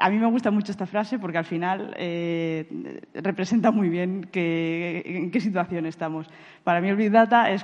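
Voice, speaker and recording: Against a quiet background, a woman with a Castilian accent speaks fairly slowly in a fairly low pitch with fairly even intonation. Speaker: big data architect. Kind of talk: conference talk. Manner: halting, frequent repetitions and fillers.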